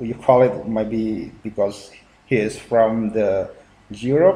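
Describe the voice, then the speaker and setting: Speaking with an Indonesian accent, a man uses lively intonation. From Indonesia (Central Java, Purworejo). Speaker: YouTuber reacting to video. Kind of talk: video reaction commentary. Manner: halting, many fillers.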